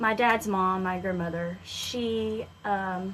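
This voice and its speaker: A woman at a medium pitch, with ordinary pitch variation and a slight Southern US accent. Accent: slight Southern twang. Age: 20s. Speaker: country singer-songwriter. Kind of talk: radio interview. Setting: radio studio.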